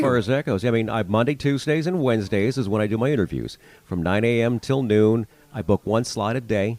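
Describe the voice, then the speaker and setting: This man has an ordinary speaking voice at medium pitch. He talks at a fairly quick pace with ordinary pitch variation. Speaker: radio announcer and podcast host. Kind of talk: interview answers, casual conversation.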